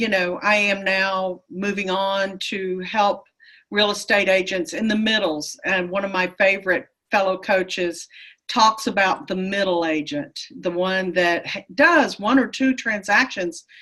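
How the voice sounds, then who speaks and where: At a fairly slow pace, a woman with an American accent speaks at a medium pitch in a bright, sharp tone with ordinary pitch variation. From Texas. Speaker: real estate coach. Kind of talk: interview.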